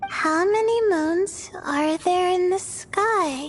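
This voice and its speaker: An extremely high, squeaky put-on character voice at a very slow pace, with clear background noise. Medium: video game. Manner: curious, polite.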